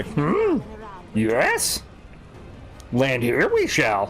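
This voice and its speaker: A man in a put-on character voice over clear background noise. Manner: odd, backwards syntax.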